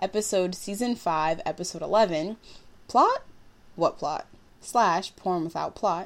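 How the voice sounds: The clip carries a natural reading voice. That voice runs from start to finish.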